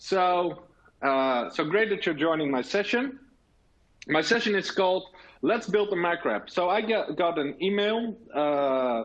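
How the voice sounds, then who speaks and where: A man with a Dutch accent, high-pitched, with lively intonation, a fairly slow pace and very even loudness. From Netherlands. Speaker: technology officer and tech blogger presenting. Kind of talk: conference presentation. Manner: hesitant, many fillers.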